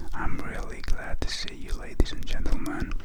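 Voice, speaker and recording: Amid noticeable background noise, a man's whisper moves along at a moderate rate. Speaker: wine ASMR content creator. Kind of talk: casual talk to camera, wine review. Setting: quarantine period, home recording. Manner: relaxed, casual, conversational.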